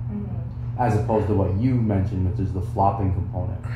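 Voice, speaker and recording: With noticeable background noise and audible room echo, a man speaks in a fairly low pitch and fairly even intonation. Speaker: fitness mentor teaching trainers. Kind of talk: instruction. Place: home room.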